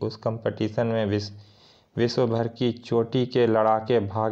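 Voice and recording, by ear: The voice reads aloud naturally.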